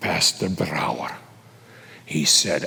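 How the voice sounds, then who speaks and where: At a fairly slow pace, a man puts on a character voice. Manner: flattering, persuasive.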